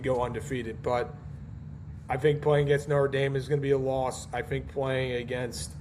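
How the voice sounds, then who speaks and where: Somewhat breathy, a man speaks at a fairly high pitch and moderate pace with fairly even intonation. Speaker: college football podcast host. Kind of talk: casual solo podcast, predictions. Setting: home recording at night, baby asleep nearby. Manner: hesitant, many fillers.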